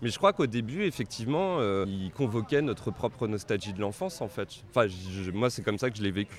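A man's medium-pitched voice, fairly quick in pace, with lively intonation. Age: 30s. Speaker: comics scholar. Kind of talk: interview. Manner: halting.

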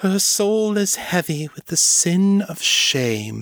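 A man does a put-on character voice, pitched high and delivered at a very slow pace. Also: lively intonation. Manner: solemn, intoning.

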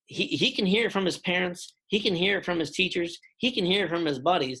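Talking at a fairly quick pace, a man with a high pitch has a bright, sharp tone and a slightly husky edge. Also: ordinary pitch variation.

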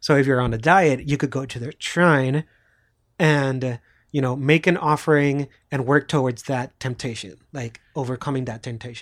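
A man with a Puerto Rican accent talks at medium pitch and a moderate pace, with fairly even intonation. The sound is dry and close with no echo, on a very clean recording with a silent background. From Puerto Rico. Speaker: podcast co-host. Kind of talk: casual chat.

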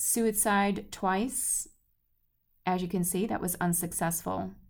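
Using vocal fry, a woman speaks at a medium pitch and a fairly slow pace. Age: 40s. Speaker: podcast host and color healing author. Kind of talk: solo podcast monologue. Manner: warm, conversational.

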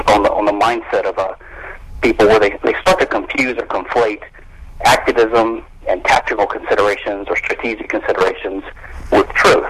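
Noticeable background noise is present throughout. The man keeps a moderate pace. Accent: American. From US South, Louisiana (Baton Rouge). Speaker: attorney and libertarian theorist. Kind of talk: interview. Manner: hesitant, many fillers.

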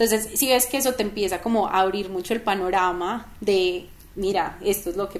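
A plain, everyday voice speaking at a moderate pace with ordinary pitch variation. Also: woman. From Colombia, Manizales. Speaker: startup co-founder. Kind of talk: interview.

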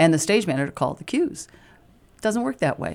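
Speaking at a moderate pace, a woman with an American accent moves through very wide pitch swings. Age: old. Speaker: stage manager, retired drama teacher. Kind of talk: radio interview.

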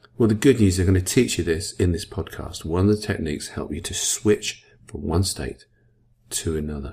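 Somewhat breathy and with a dark, mellow tone, a man talks at a moderate pace with ordinary pitch variation. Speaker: self-help podcast host. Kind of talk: motivational talk. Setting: podcast recording. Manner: varies speed and pitch for effect.

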